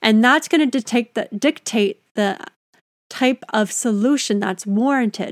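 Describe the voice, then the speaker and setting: This fairly high-pitched woman speaks at a fairly slow pace with ordinary pitch variation and an unremarkable speaking voice. The recording is very clean, with a silent background and a dry, close sound with no echo. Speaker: ergonomics consultant and podcast host. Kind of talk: solo educational podcast monologue.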